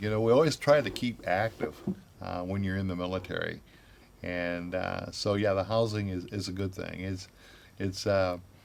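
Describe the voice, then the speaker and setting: A man's fairly low voice with a Midwestern American accent, fairly even intonation and a moderate pace. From Grand Rapids, Michigan. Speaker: retired Army chaplain, minister. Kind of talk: oral history interview answer. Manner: hesitant, conversational.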